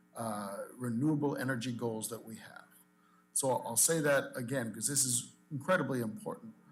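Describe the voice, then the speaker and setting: In an unremarkable speaking voice of medium pitch, a man talks at a moderate pace with ordinary pitch variation and big swings in loudness. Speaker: industry association president. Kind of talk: public comment at meeting. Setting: public commission meeting.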